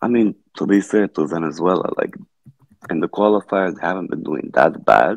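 A man speaks at a moderate pace with lively intonation and vocal fry. The sound is dry with no echo against a quiet background. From Brazil. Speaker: football fan guest. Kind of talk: casual chat. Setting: video call. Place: home room.

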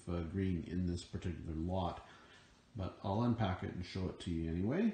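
A man with a dark, mellow tone and a somewhat breathy voice talks at a moderate pace, with audible room echo. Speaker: reseller showing finds. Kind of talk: casual vlog chat. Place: garage. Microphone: phone near.

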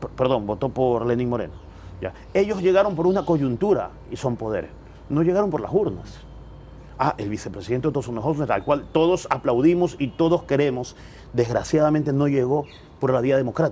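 Light background noise accompanies speech delivered at a fairly quick pace. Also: man, fairly high pitch for a man, lively intonation. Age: 40s. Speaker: political commentator; interview guest. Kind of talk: interview. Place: garden. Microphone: lapel.

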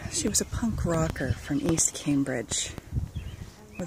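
A woman speaks at a fairly slow pace. The sound is dry with no echo, and background noise is noticeable. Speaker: storyteller. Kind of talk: personal storytelling, spoken-word memoir. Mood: wistful, tender, amused. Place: garden. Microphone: phone near.

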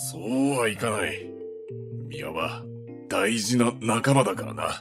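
Doing a put-on character voice over faint background music, a man talks at a fairly slow pace and a medium pitch. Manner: stern, blunt, terse.

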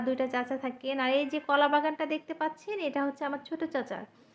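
A woman is speaking. Her pitch is high. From Bangladesh, Faridpur. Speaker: family vlogger. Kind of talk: vlog narration.

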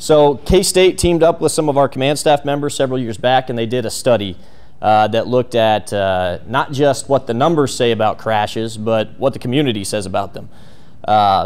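A man at a moderate pace with lively intonation. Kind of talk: lecture. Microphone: handheld.

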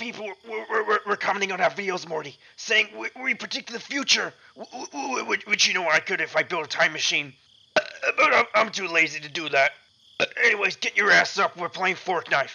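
At a moderate pace, a man puts on a cartoonish character voice pitched high for a man. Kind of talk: cartoon impression, voice trolling. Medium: game stream. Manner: stammering, repeating words, rambling; crude, insulting, dismissive.

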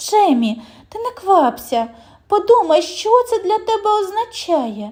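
A woman's put-on character voice at an extremely high pitch, with very wide pitch swings, big swings in loudness and a fairly slow pace. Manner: emotional, anxious.

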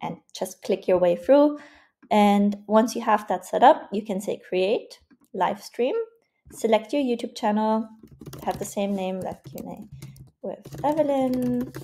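A woman speaks somewhat breathily at a fairly slow pace, with lively intonation and big swings in loudness. Long pauses come often, over light background noise. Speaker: online community coach. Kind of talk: tutorial.

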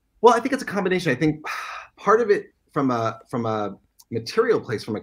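Somewhat breathy, a man talks at a very fast pace with very wide pitch swings. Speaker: guest. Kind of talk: interview answer. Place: home room. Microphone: webcam.

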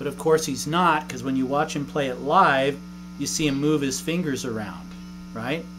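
A man talks at a moderate pace while noticeable background noise runs underneath. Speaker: guitar teacher. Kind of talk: tutorial. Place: home room.

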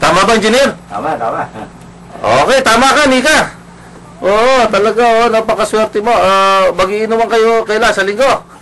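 A man's raised, projected voice, high in pitch with ordinary variation, at a moderate pace over noticeable background noise. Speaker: radio talk show host. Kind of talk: casual talk radio discussion. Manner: halting, many fillers.

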